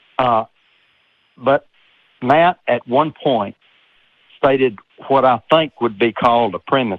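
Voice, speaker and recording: A man speaks very slowly in a Southern accent, with long, frequent pauses. His pitch is medium with ordinary variation, and his loudness stays very even. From US South, Texas. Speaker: caller, engineer. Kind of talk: call-in discussion. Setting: phone call. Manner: hesitant.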